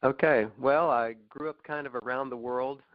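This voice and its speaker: Male speech with an American accent, pitch varying in an ordinary way. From Oklahoma. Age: 60s. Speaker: knee replacement patient. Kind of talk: interview, personal story. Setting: phone call. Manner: hesitant, many fillers.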